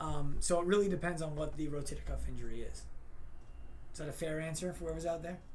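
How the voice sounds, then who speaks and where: A man talks at a very fast pace. Room echo is audible. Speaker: chiropractor. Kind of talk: casual Q&A on Instagram live. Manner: loud.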